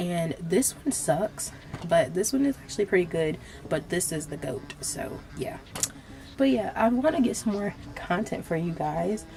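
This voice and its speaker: A woman speaks with very wide pitch swings over noticeable background noise. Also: fairly low pitch for a woman, moderate pace. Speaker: beauty vlogger. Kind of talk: casual storytime while doing makeup. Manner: casual, filler-heavy.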